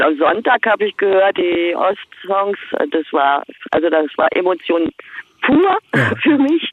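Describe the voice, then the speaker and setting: In a normal speaking voice, a woman talks at medium pitch with lively intonation and very even loudness. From East Berlin, Germany. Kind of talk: casual phone interview.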